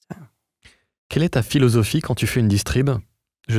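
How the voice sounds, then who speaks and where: Lively intonation carries the speech at a fairly quick pace. The sound is dry with no echo over a quiet background. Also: man. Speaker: podcast host. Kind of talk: casual interview chat. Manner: animated. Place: studio. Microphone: studio mic.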